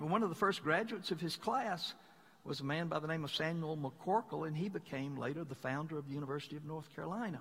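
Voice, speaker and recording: With lively intonation and a Southern US accent, a man speaks at a very fast pace and a fairly high pitch. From Mississippi, US South. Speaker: pastor. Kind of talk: sermon.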